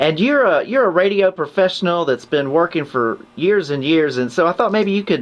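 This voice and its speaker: With a fairly high pitch, a man speaks at a moderate pace in an unremarkable speaking voice. His intonation is lively. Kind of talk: interview host questions.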